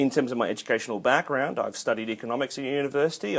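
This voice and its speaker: In an Australian accent, this man talks at a medium pitch. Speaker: accounting lecturer. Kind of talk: casual vlog introduction. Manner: animated.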